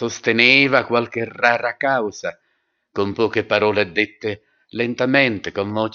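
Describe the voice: Plain reading aloud comes with fairly even intonation over a quiet background.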